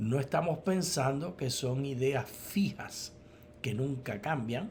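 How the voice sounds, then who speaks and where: A man speaks at a fairly slow pace with lively intonation and a somewhat breathy voice. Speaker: theology professor and co-host. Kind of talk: Bible study dialogue.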